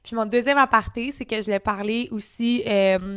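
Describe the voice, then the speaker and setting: In a very clean recording with a silent background, a woman uses an ordinary speaking voice, fairly high in pitch, with fairly even intonation at a moderate pace. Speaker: podcast co-host; self-employed worker. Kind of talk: casual chat.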